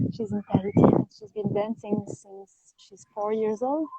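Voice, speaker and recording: With a French accent, a woman speaks at a fairly slow pace and with ordinary pitch variation. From France. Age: 30s. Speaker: Tahitian dancer and teacher. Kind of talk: interview.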